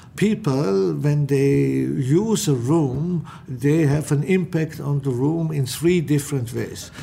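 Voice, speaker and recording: A man with fairly high pitch speaks at a very slow pace with hardly any pauses and ordinary pitch variation, over noticeable background noise. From Austrian mountain village. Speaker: architect. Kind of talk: interview.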